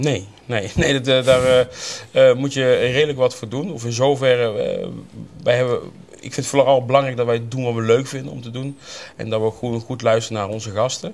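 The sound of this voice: This man talks at a fairly quick pace, his medium-pitched voice keeping a fairly even intonation. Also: slightly mellow tone.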